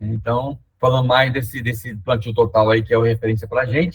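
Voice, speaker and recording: Somewhat breathy, a man speaks. His pace is fairly quick. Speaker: environmental restoration technician. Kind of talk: webinar presentation. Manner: fast; hesitant, many fillers.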